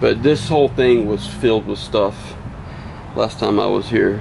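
The speaker is a man. There is light background noise. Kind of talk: casual vlog commentary. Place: open country. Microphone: camera far.

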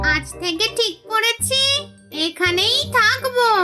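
Over clear music, a squeaky, female-sounding cartoonish character voice speaks at an extremely high pitch. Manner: brash, bossy.

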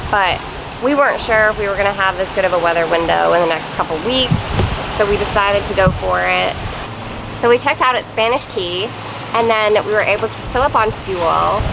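Against noticeable background noise, a woman talks at a fairly quick pace. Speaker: sailing vlogger. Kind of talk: casual vlog chat. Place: boat. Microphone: phone near.

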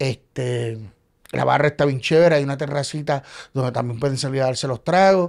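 Against a quiet background, a man talks at a fairly quick pace in a fairly high voice with ordinary pitch variation. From Puerto Rico. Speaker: playwright and actor; actor. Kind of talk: casual chat. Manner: animated. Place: studio. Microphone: studio mic.

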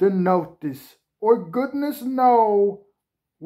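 Quiet surroundings for plain reading aloud.

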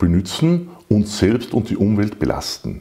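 Quiet surrounds this man. His tone is dark and mellow. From Salzburg, Austria. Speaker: patent holder and company director. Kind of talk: sales pitch. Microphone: lapel.

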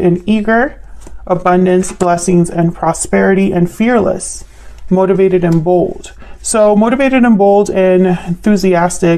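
A woman's moderately paced voice with fairly even intonation and very even loudness. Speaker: tarot reader. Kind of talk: tarot reading commentary. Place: home room.

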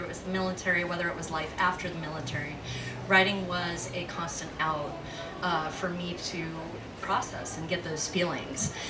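Her pace is moderate. Noticeable background noise accompanies the woman's speech. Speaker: poet performer. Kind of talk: spoken word introduction to audience. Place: stage. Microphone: handheld.

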